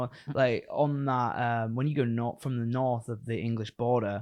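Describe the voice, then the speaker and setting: The pace is fairly quick as a man talks in an unremarkable speaking voice. He keeps a medium pitch and fairly even intonation. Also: very clean recording, silent background. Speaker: podcast host. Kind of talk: casual chat. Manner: joking, casual.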